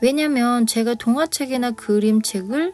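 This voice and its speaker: A woman's fairly slow, lively-toned speech with music in the background. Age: 50s. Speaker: picture book author and illustrator. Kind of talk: personal story told to camera.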